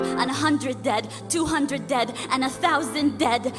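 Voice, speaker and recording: Against music in the background, a woman talks at a moderate pace. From Palestinian-Canadian. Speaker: spoken word artist, activist. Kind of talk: spoken word poetry performance. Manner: impassioned, forceful.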